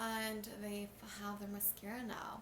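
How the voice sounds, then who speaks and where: A woman mumbling amid noticeable background noise and audible room echo. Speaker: beauty vlogger. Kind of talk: makeup tutorial. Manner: casual, chatty.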